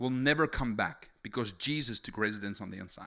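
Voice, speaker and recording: Recorded very cleanly against a silent background, a man with a South African accent speaks at a moderate pace in an animated, bright and sharp tone. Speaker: preacher. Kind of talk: sermon. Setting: stage with audience.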